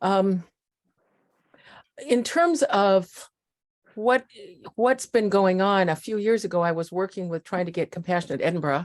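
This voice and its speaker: Long, frequent pauses from a woman with a Midwestern accent, medium pitch and ordinary pitch variation, at a fairly slow pace. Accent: American Midwest. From US Midwest (Iowa and Nebraska). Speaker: community volunteer. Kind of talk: casual group video chat.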